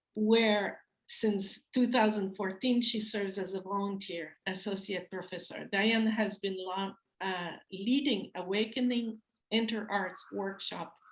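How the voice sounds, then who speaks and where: Speaking with a French accent, a woman at a medium pitch talks at a fairly slow pace with fairly even intonation. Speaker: event host. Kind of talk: event introduction. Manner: halting.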